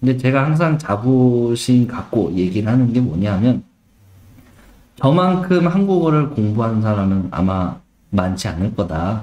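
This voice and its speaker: This man's tone is dark and mellow, his pitch medium with very wide swings. He talks at a fairly slow pace and very even loudness. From Argentina, Korean immigrant family. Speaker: travel agency team leader and guide. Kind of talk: self-introduction presentation. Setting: online live session. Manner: conversational, frequent fillers.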